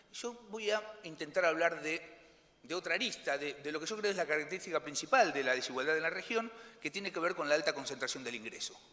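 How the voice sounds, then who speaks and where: Over noticeable background noise, a man speaks very fast in a fairly high pitch with lively intonation. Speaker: economist. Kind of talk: conference presentation. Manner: halting, many fillers and repetitions.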